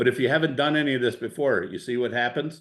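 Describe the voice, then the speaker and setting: A man speaks with a strong Cleveland accent. His pace is fairly quick. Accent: strong Midwest Cleveland. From Ohio, US Midwest. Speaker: real estate investor. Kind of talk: masterclass Q&A on video call. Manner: casual, animated, many fillers.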